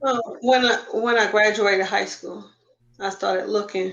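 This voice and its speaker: Speaking in a medium pitch, a woman keeps a monotone, flat intonation. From Queens, New York. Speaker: adoptee sharing family search story. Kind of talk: interview testimony.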